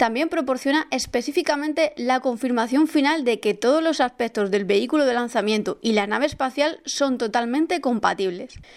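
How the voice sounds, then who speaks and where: A woman's high voice at a moderate pace with ordinary pitch variation, on a very clean recording with a silent background. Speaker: space news podcast host. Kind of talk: scripted news narration.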